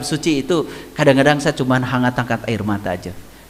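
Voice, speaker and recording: A man with a West Javanese accent over noticeable background noise. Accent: Sundanese (Garut) Indonesian. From Garut, West Java, Indonesia. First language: Sundanese (speaking Indonesian). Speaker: religious teacher. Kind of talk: religious lecture. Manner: conversational, with frequent hmm fillers.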